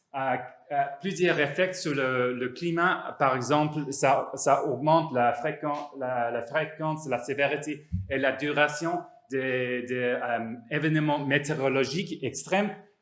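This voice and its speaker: Noticeable background noise and audible room echo surround a man with a fairly high pitch who talks at a very slow pace with fairly even intonation. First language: not French (speaking French). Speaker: psychologist and professor. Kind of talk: conference talk. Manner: halting, many hesitations and repetitions.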